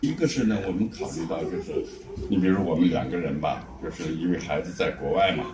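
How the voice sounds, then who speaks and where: Over noticeable background noise, a man with a very deep, low voice speaks fairly quickly, his intonation lively. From Shanxi, China. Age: 70s. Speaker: retiree. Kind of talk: interview answer.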